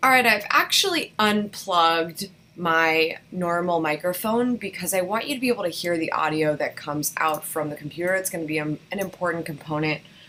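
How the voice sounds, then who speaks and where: A woman talks with a fairly low pitch. Noticeable background noise runs underneath. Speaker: vlogging course instructor. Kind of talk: tutorial. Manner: loud. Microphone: laptop mic.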